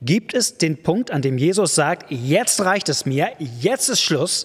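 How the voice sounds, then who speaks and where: A man's fairly high voice at a very slow pace, with very wide pitch swings against a quiet background. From Germany. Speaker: preacher. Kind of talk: sermon. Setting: church. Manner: warm, direct, conversational address; emphatic, repetitive for effect. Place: church. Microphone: studio mic.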